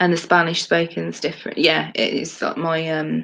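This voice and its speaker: In a Midlands accent, a woman talks at a fairly slow pace. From English Midlands. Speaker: podcast co-host. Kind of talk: casual chat.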